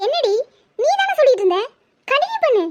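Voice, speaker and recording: In a cartoonish character voice, a woman squeaks at an extremely high pitch. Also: moderate pace, lively intonation. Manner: sarcastic, breezy.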